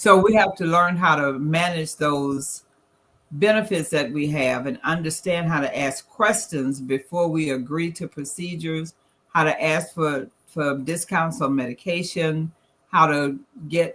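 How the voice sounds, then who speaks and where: In a Southern US accent, a woman with a very deep, low voice speaks at a fairly slow pace with ordinary pitch variation. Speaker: financial presenter. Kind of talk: presentation.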